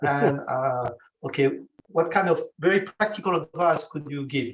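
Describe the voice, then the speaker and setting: With a French accent, the speaker talks at a moderate pace using ordinary pitch variation. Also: man, fairly high pitch for a man. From France. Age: 60s. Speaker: consultant, participant asking a question. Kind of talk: question in online Q&A. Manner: halting.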